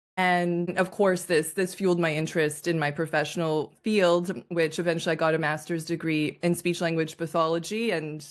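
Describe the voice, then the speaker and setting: A woman with a Canadian accent speaks at a moderate pace in a fairly low pitch, an ordinary speaking voice. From Canada. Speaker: communication coach. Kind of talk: interview.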